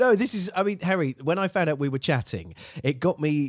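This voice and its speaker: With an English accent, a man talks at a fairly quick pace. The sound is dry and close with no echo, and the recording is very clean over a silent background. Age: 40s. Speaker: podcast host. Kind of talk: casual chat.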